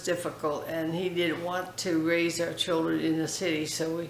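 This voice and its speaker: A woman's fairly low voice with an American accent, fairly slow pace and monotone, flat intonation, plus audible room echo and noticeable background noise. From California, US. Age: 80s+. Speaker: foundation founder interviewee. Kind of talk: interview. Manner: halting.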